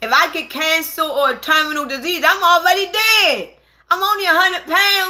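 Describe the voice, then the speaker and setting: A woman speaks in a raised, projected voice at an extremely high pitch, her tone bright, sharp and animated. Her pitch varies in an ordinary way. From Baltimore, Maryland. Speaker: livestreamer. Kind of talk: casual livestream chat.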